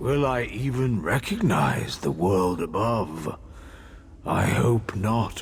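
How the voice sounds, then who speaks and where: Very slow speech in an exaggerated, put-on character voice, set against clearly audible background noise. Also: man, medium pitch for a man. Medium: video game. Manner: weary, wistful.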